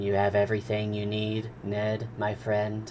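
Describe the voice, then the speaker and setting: A man uses a put-on character voice, fairly low in pitch, at a moderate pace. Clear background noise sits behind him. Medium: read story. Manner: formal, polite.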